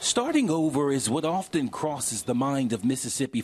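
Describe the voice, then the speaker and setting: At a moderate pace, a man with a normal speaking voice uses ordinary pitch variation. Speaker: TV news reporter. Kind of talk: TV news report.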